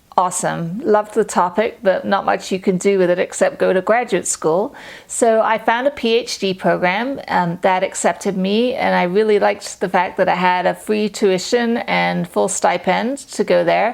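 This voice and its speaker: A woman with a slight English accent and ordinary pitch variation. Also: medium pitch for a woman, moderate pace, very even loudness. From England, London. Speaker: freelance medical writer. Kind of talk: casual talk to camera.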